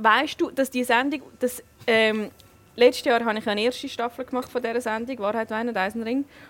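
This woman's high-pitched voice keeps a fairly even intonation. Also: fairly quick pace. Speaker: talk show host. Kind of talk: casual interview; scripted intro. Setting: restaurant.

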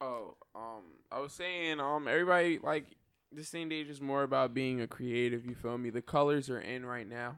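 A man speaks in an unremarkable speaking voice at medium pitch. His pace is moderate, with ordinary pitch variation. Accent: American. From New York. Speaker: podcast co-host. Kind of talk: casual chat.

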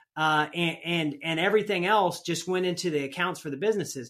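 Speaking with an American accent, a man lets his pitch vary in an ordinary way. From US Midwest. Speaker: rodeo athlete and entrepreneur. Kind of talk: casual interview. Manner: animated.

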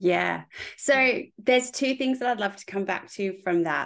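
Over a quiet background, a woman with an Australian accent speaks at a fairly high pitch with vocal fry. Her pitch variation is ordinary. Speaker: podcast host and interior designer. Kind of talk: interview; scripted intro and outro.

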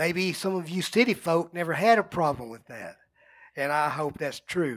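With a rural Texas accent, a man talks at a high pitch and a moderate pace on a very clean recording with a silent background. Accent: rural Texas Southern US. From US South, North Central Texas. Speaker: pastor. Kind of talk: sermon.

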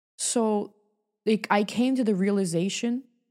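On a very clean recording with a silent background, a woman with a New York accent talks at a fairly slow pace in an animated tone with ordinary pitch variation. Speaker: author and talk show host. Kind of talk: casual chat.

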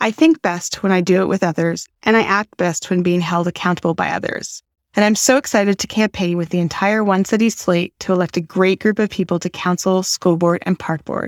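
An ordinary speaking voice from a woman with a Canadian accent, fairly even intonation, a fairly quick pace and hardly any pauses, on a very clean recording with a silent background and a dry, close sound with no echo. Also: medium pitch for a woman. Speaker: school board candidate. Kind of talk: campaign pitch.

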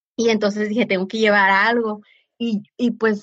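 A woman speaks at a medium pitch and a moderate pace, somewhat breathy. The sound is dry and close, with no echo. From San Diego–Tijuana border region. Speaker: social entrepreneur. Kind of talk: interview. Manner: halting, many repetitions.

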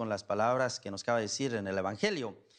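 Very fast pace from a man over a quiet background. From Mexico, Guanajuato. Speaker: priest. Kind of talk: sermon. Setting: church.

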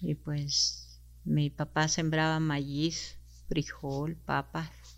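A woman speaks at a very slow pace with a Chihuahua accent, on a very clean recording with a silent background. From Mexico, Sierra Tarahumara, Chihuahua. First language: Rarámuri (speaking Spanish). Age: 60s. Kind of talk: interview.

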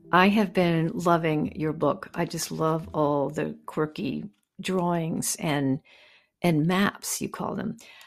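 At a very slow pace, a woman speaks in a fairly low pitch with vocal fry and ordinary pitch variation. The recording is very clean with a silent background. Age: 70s. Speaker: podcast host. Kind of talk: interview conversation.

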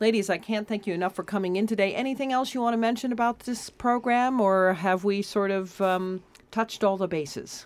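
A woman's normal speaking voice at medium pitch, fairly quick with hardly any pauses, ordinary pitch variation, on a very clean recording with a silent background. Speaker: radio host. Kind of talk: radio interview chat. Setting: radio studio.

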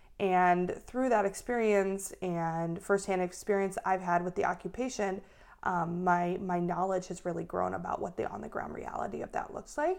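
This is a normal speaking voice from a woman with an American accent. Her pitch is medium, with ordinary variation, and her pace is moderate. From US Midwest, Minneapolis, Minnesota. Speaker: rabbinical student and activist. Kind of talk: interview.

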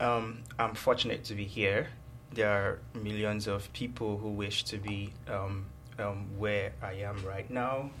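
With music in the background, a man with a Nigerian accent speaks at a fairly low pitch with fairly even intonation. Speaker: university student and researcher. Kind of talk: casual interview.

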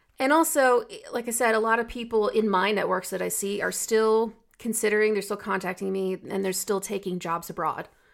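In an American accent, a woman with an ordinary speaking voice talks at a fairly quick pace, her fairly high pitch showing ordinary variation. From United States. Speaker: podcast co-host, marketing professional. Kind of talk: casual chat. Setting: recording from home.

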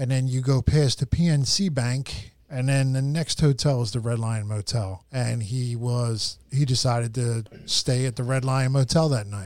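This man has an ordinary speaking voice at medium pitch, moving at a moderate pace with ordinary pitch variation and hardly any pauses. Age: 50s. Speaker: podcast host. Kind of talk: casual chat.

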